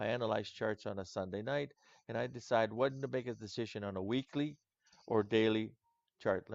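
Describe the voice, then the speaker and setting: A man's put-on character voice, hoarse and medium in pitch, at a moderate pace with fairly even intonation against a quiet background. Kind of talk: conversational.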